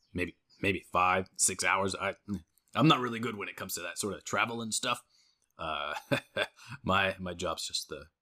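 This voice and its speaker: A man in a raspy put-on character voice, fairly low in pitch with ordinary variation, at a fairly slow pace broken by long, frequent pauses. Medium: actual play. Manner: folksy, homespun.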